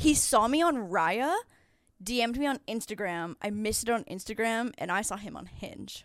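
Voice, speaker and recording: A woman's plain, everyday voice, fairly high in pitch, with lively intonation at a moderate pace on a very clean recording with a silent background. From Ontario, Canada (near Niagara Falls). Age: 30s. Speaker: YouTuber and podcast host. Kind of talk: casual chat.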